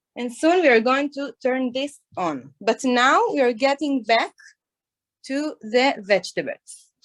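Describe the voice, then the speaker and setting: A woman's high-pitched, lively voice at a fairly slow pace, with dry, close sound and no echo. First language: Hebrew. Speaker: chef. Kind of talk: tutorial. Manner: halting.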